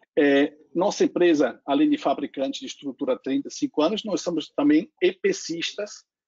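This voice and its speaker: Speaking at a moderate pace with hardly any pauses, a man with a non-native accent uses a high pitch and very wide pitch swings. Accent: foreign accent in Portuguese. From Lake Constance region, German-speaking Europe. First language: German (speaking Portuguese). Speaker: solar company executive. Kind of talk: panel discussion.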